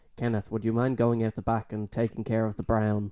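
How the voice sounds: A man puts on a nasal character voice at a medium pitch, delivering it at a fairly quick pace with monotone, flat intonation.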